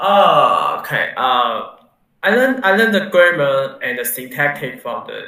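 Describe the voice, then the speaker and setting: A man with a Mandarin accent talks at a very slow pace. There is audible room echo. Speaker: university student. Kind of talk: interview. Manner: halting, many fillers.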